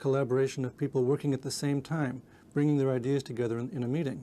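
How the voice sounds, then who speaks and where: Talking at a very fast pace, a man with a medium pitch and a dark, mellow tone keeps his intonation flat and monotone. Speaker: research scientist. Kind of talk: scripted statement to camera. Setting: video shoot. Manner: smooth.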